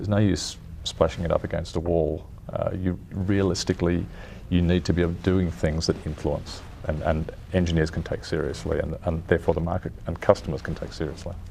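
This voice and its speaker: Very deep, low male speech, fairly quick in pace and fairly even in intonation. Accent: Australian. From Australia. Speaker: car design executive. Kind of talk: interview. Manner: halting, many restarts.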